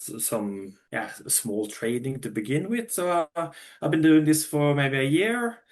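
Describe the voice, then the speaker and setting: In a Norwegian accent, a man talks at a moderate pace. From Norway. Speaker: funded trader. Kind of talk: interview. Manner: halting, many fillers and restarts.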